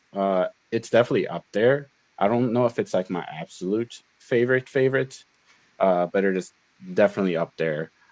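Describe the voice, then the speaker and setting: A man with a Chicago accent speaks at a fairly low pitch with lively intonation. The recording is very clean with a silent background and has a dry, close sound with no echo. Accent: Chicago American. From Chicago, US Midwest. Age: 30s. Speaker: card game pro player. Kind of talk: casual interview.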